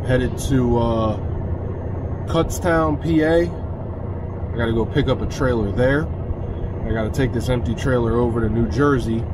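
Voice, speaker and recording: A man's voice comes through with a dry sound, no echo, and noticeable background noise. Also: moderate pace. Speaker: truck driver vlogger. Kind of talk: casual vlog chat. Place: car. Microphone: phone near.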